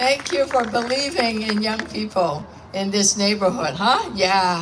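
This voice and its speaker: A woman with a fairly high pitch talks in an animated tone at a fairly slow pace, her pitch swinging very widely over noticeable background noise. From Hong Kong. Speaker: politician. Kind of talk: public speech at event.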